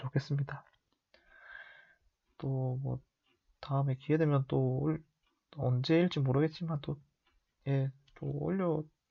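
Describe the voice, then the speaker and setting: A man's very slow, somewhat breathy voice, fairly high in pitch, relaxed in tone and fairly even in intonation, with long, frequent pauses. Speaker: amateur football commentary youtuber. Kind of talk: casual monologue. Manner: relaxed, unhurried; hesitant, many fillers.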